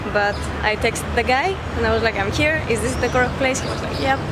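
Against loud background noise, a woman talks at a fairly quick pace in a dry sound with no echo. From Greece. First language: Greek. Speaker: travel vlogger. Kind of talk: casual travel vlog talk to camera. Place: street. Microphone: phone near.

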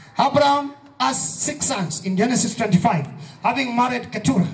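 A man's animated voice swings very widely in pitch. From Kenya. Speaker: pastor. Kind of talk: fervent evangelistic sermon at a youth rally, call-and-response. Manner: emphatic, repetitive preaching cadence; animated, prompting audience amens.

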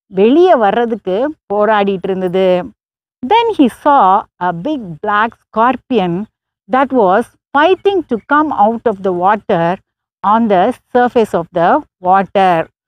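A woman speaks against a quiet background, her voice dry and free of any echo. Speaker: preacher. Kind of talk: bilingual sermon storytelling, Tamil with English translation. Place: open country. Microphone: lapel.

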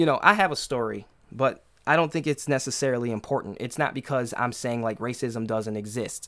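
Over a quiet background, a man with an American accent talks at a moderate pace with ordinary pitch variation. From US, urban neighborhood. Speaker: podcast host. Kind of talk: solo commentary monologue. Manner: halting, many repetitions and fillers. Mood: concerned, earnest. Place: home room.

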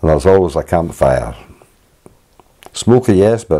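A man speaks with a Scottish accent. His pitch is very deep and low. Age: 80s+. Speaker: sea kayaker, filmmaker. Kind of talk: home movie narration, reminiscing.

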